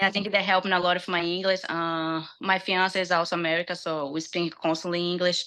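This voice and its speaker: Speaking in a strong Brazilian accent, a woman with a fairly low pitch and a bright, sharp tone moves at a fairly quick pace with monotone, flat intonation. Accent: heavy Brazilian Portuguese accent in English. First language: Portuguese. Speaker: UFC fighter. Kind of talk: interview. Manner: halting.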